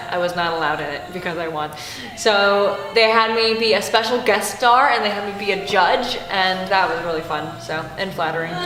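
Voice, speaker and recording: The woman's voice has ordinary pitch variation. Audible room echo and noticeable background noise come through. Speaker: musician and vocal teacher. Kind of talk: interview monologue. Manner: occasional vocal tics; animated.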